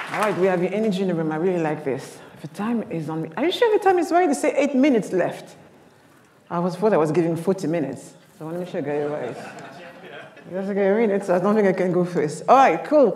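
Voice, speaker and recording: Over noticeable background noise and audible room echo, a woman talks at a very fast pace in a medium-pitched voice with lively intonation and an animated tone. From Paris, France. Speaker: keynote speaker. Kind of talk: keynote talk. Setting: stage with audience.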